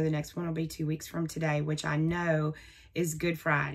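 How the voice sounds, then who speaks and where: A woman speaks in a Southern US accent. Her pitch is fairly low. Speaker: crafting vlogger. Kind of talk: casual vlog talk. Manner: chatty.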